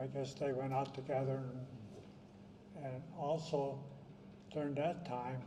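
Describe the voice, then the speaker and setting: A man speaks at a fairly slow pace with a fairly high pitch. His long, frequent pauses ring with audible room echo. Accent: American. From southern California. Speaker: wartime evacuee recounting family history. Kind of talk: testimony. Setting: reunion gathering with audience. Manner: halting.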